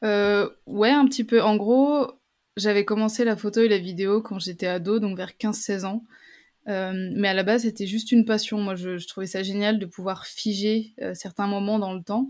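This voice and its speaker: A woman speaks at a fairly slow pace with a medium pitch and fairly even intonation. The recording is very clean, with a silent background. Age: 20s. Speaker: travel reporter and content creator. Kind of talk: interview testimony. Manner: halting, many fillers and repetitions.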